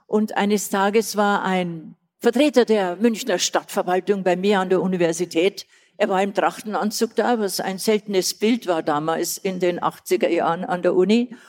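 A woman speaks at medium pitch and a moderate pace, with fairly even intonation. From Old Bavaria, southern Germany. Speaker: retired tourism and festival director. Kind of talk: live on-stage interview. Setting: stage with live audience.

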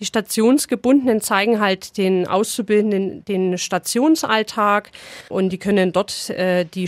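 A woman talks in an unremarkable speaking voice, fairly high in pitch. Her pitch varies in an ordinary way, and the sound is dry and close with no echo. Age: 30s. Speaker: nurse and practical training supervisor. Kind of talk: interview. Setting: studio.

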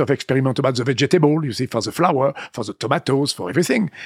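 The voice comes at a very fast pace in an animated tone, with a French accent. Its pitch variation is ordinary. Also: man. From France, Vendée. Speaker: winemaker. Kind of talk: interview. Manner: animated, digressive.

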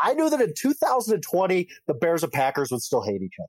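Recorded with a dry, close sound and no echo, a man with an American accent talks at a high pitch with very wide pitch swings. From Wisconsin. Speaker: NFL writer. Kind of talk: sports debate.

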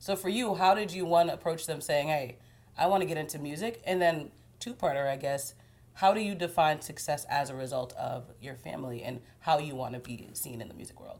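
A woman with a very deep, low pitch speaks at a fairly quick pace, with lively intonation and big swings in loudness. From Haitian-American. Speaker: TV news interviewer. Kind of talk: interview. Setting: apartment.

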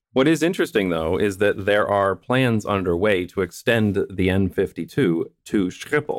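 Heard on a very clean recording with a silent background, a man with an unremarkable speaking voice and fairly low pitch talks at a moderate pace with lively intonation and hardly any pauses. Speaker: podcast host and urbanism video creator. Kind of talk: casual podcast conversation. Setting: podcast recording.

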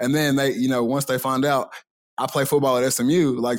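A man talks at a fairly quick pace in a fairly high pitch, with monotone, flat intonation. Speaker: college football player. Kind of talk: casual chat. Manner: loud.

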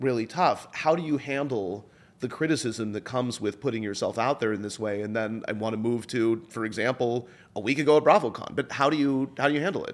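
In a normal speaking voice, someone talks at a fairly quick pace with ordinary pitch variation. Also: man, medium pitch for a man. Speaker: podcast host and producer. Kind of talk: interview.

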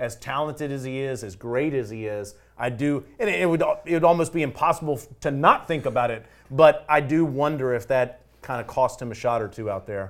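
At a moderate pace, a man speaks with medium pitch, ordinary pitch variation and an ordinary speaking voice. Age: 40s. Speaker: golf broadcaster. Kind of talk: casual panel discussion.

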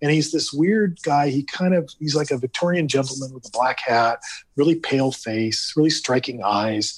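A man with a Californian accent and a fairly high pitch at a moderate pace. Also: ordinary pitch variation. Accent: Californian American. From US West Coast, Los Angeles area. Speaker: theme park creative director. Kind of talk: casual interview.

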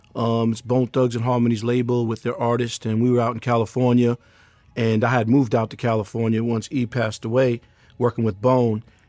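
A man speaks at a fairly quick pace and medium pitch in a dark, mellow tone with monotone, flat intonation. The sound is dry and close with no echo, on a very clean recording with a silent background. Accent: New York. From Queens, New York. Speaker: music manager. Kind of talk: interview.

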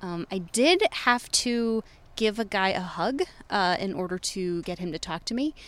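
In a normal speaking voice, a woman talks at a fairly slow pace with medium pitch and ordinary pitch variation. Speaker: podcast co-producer, street interviewer. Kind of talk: pre-recorded segment narration. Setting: outdoors, street interviews.

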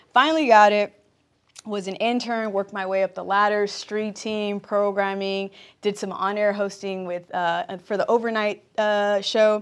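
A woman has an unremarkable speaking voice at a medium pitch. She speaks at a moderate pace with ordinary pitch variation. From Compton, Los Angeles. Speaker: athlete and entertainment host. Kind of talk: interview.

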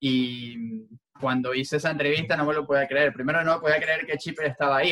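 A man with a Venezuelan accent and a fairly high pitch talks at a very fast pace with fairly even intonation. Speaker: sports journalist. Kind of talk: interview.

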